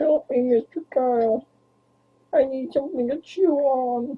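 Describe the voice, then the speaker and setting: A cartoonish character voice with a high pitch moves at a moderate pace. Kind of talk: cartoonish, puppet-like.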